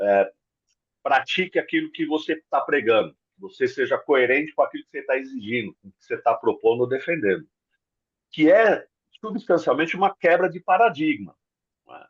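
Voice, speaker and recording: A man at a moderate pace, with long, frequent pauses and big swings in loudness, in a dry, close sound with no echo. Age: 60s. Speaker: leadership development consultant. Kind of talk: casual interview chat.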